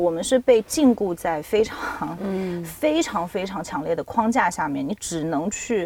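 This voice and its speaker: A woman with a medium-pitched voice and a dark, mellow tone speaks with lively intonation. The recording is very clean, with a silent background. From China, Nanjing. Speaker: PhD student and freelance writer. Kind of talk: casual chat.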